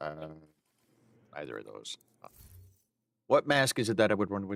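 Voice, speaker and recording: Recorded dry and close with no echo, a man speaks at a moderate pace in a fairly low voice with vocal fry, lively intonation and big swings in loudness. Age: 40s. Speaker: video game streamer. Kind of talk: live stream chat. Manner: casual, hesitant with fillers.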